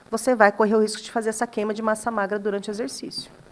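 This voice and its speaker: Fairly high in pitch, a woman talks at a very fast pace. Her intonation stays fairly even. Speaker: dermatologist. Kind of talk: casual chat.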